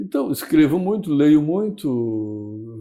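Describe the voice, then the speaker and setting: At a very slow pace, a man speaks in a medium pitch with very wide pitch swings and a dark, mellow tone. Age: 70s. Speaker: writer. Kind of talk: casual interview chat. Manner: halting, many repetitions and fillers.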